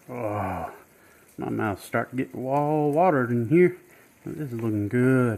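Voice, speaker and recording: A man speaks at a very slow pace with a Southern US accent. His pitch is medium, with ordinary variation. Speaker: home cook, author. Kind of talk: cooking demonstration. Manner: casual, friendly.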